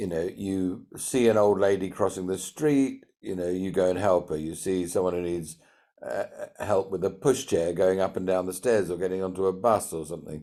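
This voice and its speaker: At a moderate pace, a man with a British accent speaks in a very deep, low pitch, his tone dark and mellow and his intonation fairly even. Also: very clean recording, silent background. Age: 60s. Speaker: entrepreneur and CEO mentor. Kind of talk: podcast interview.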